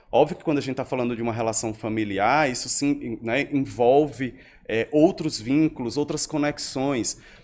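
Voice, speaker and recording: Moderate in pace, a man speaks at medium pitch. His pitch varies in an ordinary way. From Brazil, Northeast (João Pessoa, Paraíba). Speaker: customer experience specialist. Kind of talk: podcast interview.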